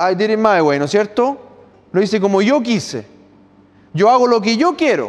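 An animated, lively-sounding voice in a Chilean accent, its loudness very even throughout. The pace is moderate, broken by long and frequent pauses. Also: man, high pitch for a man. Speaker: pastor. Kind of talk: sermon.

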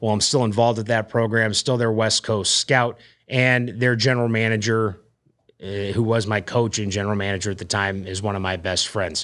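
An ordinary speaking voice from a man with an American accent, fairly low in pitch, fairly quick, with fairly even intonation, on a very clean recording with a silent background. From Arizona (Phoenix area), US. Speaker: podcast host, mortgage branch manager and former hockey player. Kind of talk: casual monologue.

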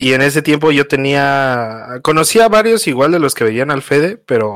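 A man's medium-pitched voice at a moderate pace with a Mexico City accent, on a very clean recording with a silent background. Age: 20s. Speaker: streamer. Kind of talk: casual chat.

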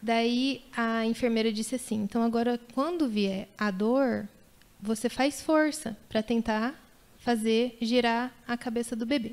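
Fairly slow and with fairly even intonation, an ordinary speaking voice carries on. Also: woman, fairly high pitch for a woman. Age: 30s. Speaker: mother sharing birth stories. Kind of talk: testimony.

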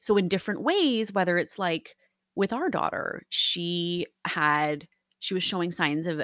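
A woman's fairly low voice, animated in tone, with ordinary pitch variation and a fairly slow pace, dry and close with no echo. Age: 30s. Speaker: podcast host. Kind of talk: casual solo monologue. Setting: home recording.

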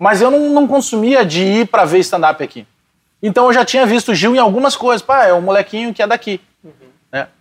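A man with a southern Brazilian accent, high in pitch, at a fairly quick pace, with lively intonation and big swings in loudness. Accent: gaúcho Brazilian Portuguese. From Porto Alegre, Rio Grande do Sul, Brazil. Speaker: radio sports commentator and comedian. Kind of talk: casual interview chat. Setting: pub.

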